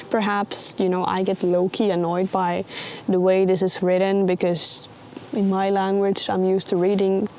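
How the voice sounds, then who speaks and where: Someone speaks with a Swedish accent at a moderate pace. Noticeable background noise runs throughout. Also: woman. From Sweden. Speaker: vlogger. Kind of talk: casual commentary.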